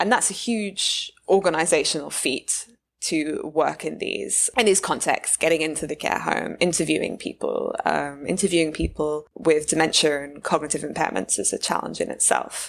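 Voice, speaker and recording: A woman with a British accent talks at a moderate pace, with hardly any pauses. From UK. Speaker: neuroscience postdoc. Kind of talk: interview conversation.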